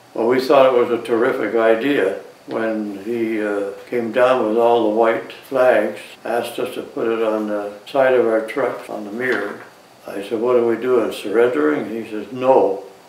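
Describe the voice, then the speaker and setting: A man at medium pitch with fairly even intonation and a moderate pace, over noticeable background noise. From Canada. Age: 80s+. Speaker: war veteran. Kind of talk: interview answer.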